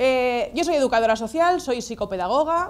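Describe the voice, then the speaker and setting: The recording is very clean and the background silent. A woman sounds animated, her intonation lively. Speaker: social educator and lecturer. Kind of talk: lecture. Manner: fast.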